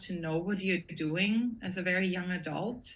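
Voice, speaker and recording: A woman at medium pitch with an Austrian accent, with audible room echo. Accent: Austrian accent, kept. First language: German. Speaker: production designer. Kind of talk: interview conversation.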